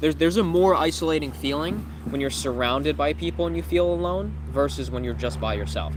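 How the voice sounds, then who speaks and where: Very fast and with very wide pitch swings, a man speaks in a very deep, low pitch amid audible room echo. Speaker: life coach. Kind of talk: live stream Q&A reading chat questions. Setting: livestream.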